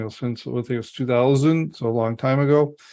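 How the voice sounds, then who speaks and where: At a fairly quick pace, a man speaks in a plain, everyday voice with a medium pitch and ordinary pitch variation. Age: 60s. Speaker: podcast host, business advisor. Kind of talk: podcast interview.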